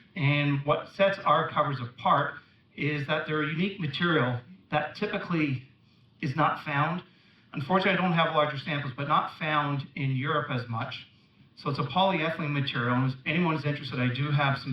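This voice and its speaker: Fairly quick delivery with ordinary pitch variation over noticeable background noise. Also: man, fairly high pitch for a man. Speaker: company representative, conference speaker. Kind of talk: conference talk. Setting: stage with audience.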